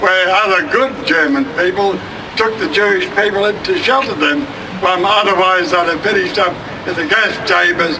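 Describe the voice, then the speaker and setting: With audible room echo and noticeable background noise, a man speaks at a moderate pace in a raised, projected voice, high in pitch and very even in loudness. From Australia. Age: old. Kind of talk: protest speech. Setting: outdoor rally. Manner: halting.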